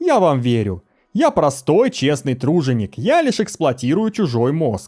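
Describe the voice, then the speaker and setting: A man's put-on character voice, fairly high in pitch, drawling at a moderate pace with very wide pitch swings over music in the background. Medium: read story. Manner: lazy drawl, cynical.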